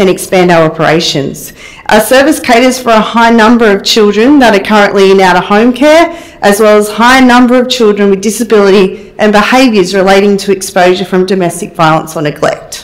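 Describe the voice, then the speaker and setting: Fairly quick speech with ordinary pitch variation and very even loudness. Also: woman. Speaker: public speaker. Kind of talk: prepared address to council. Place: hall.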